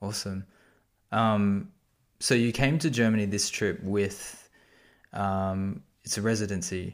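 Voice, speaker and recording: Against a silent background in a very clean recording, a man with an Australian accent and a fairly low voice speaks at a fairly slow pace, with fairly even intonation and long, frequent pauses. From Sydney, Australia. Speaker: podcast host. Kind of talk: casual interview.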